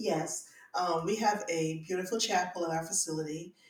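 Noticeable background noise beneath speech with ordinary pitch variation. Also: woman. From Barbados. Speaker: funeral director. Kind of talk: interview.

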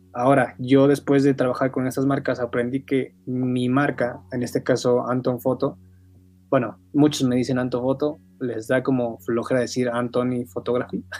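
Music plays in the background as a man talks at a moderate pace. His pitch is medium and his intonation monotone and flat. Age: 20s. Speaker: photographer and graphic designer. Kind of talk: casual interview.

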